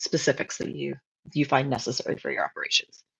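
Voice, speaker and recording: Someone speaks with a Canadian accent over a quiet background. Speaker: webinar presenter, cannabis compliance consultant. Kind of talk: webinar presentation. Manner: fast.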